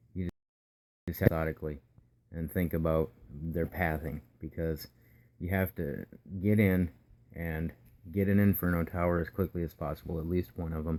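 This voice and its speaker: A quiet man's voice, very deep and low in pitch, with a dark, mellow tone, fairly even intonation, a moderate pace and long, frequent pauses. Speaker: gaming video creator. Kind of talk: gameplay commentary tutorial. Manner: quiet, keeping it down.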